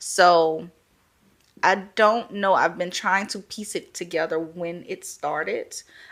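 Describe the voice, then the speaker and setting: On a very clean recording with a silent background, a woman with a Louisiana accent speaks very slowly at a medium pitch, with fairly even intonation and big swings in loudness. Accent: Southern US, Louisiana. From Louisiana, Baton Rouge. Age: 20s. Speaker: podcast guest, first-time mother. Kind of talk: casual interview chat.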